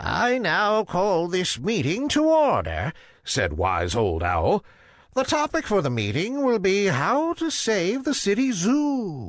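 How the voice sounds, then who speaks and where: A man puts on a character voice, pitched high. He talks at a fairly slow pace against a quiet background. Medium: read story. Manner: authoritative hooting.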